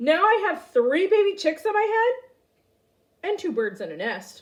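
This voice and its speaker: A woman uses a put-on character voice with an extremely high pitch. Her voice is raised and projected, at a moderate pace. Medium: read story. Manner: nervous, fretful.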